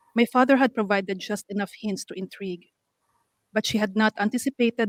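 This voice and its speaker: At a fairly quick pace, a woman with a medium pitch talks in fairly even intonation, the sound dry and close with no echo. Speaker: author reading her short story. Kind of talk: reading aloud.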